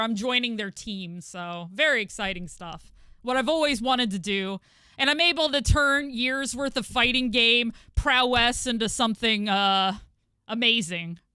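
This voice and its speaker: Woman with an American accent, fairly high pitch and a bright, sharp tone, ordinary pitch variation, moderate pace. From New York City. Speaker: gaming streamer. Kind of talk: casual chat. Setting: live stream. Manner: halting.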